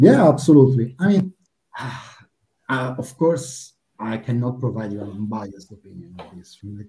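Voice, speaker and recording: A man talks at a moderate pace, his medium-pitched voice dark and mellow, somewhat breathy, with lively intonation. His loudness swings widely. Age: 30s. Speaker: player support project manager. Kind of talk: casual interview.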